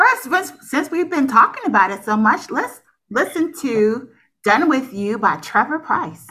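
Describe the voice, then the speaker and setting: Her pitch high and swinging very widely, a woman projects a raised voice with a bright, sharp tone at a fairly slow pace. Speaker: podcast co-host. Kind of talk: casual chat.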